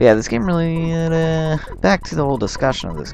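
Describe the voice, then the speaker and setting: A man's voice with music in the background. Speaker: let's play gamer. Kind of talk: gameplay commentary. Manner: casual, rambling with fillers.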